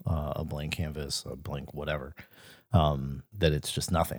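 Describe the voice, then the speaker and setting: This man has a very deep, low pitch with vocal fry and an American accent, speaking at a moderate pace. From Mississippi, US Gulf Coast. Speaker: art gallery co-host. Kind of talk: casual chat podcast conversation. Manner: casual, conversational, jokey.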